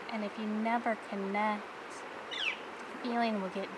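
Over loud background noise, a woman's voice comes through dry with no echo. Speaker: ASMR creator. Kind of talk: ASMR soft-spoken reflective monologue. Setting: outdoors by a river with flowing water and bird sounds. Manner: soft-spoken, whispery, calming, slow. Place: waterside.

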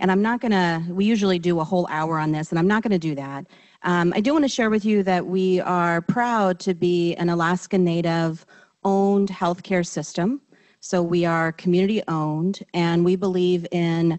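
Against a quiet background, a woman talks at a moderate pace with a fairly low pitch. She has an ordinary speaking voice and fairly even intonation. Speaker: presenter. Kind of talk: panel presentation. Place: stage. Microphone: handheld.

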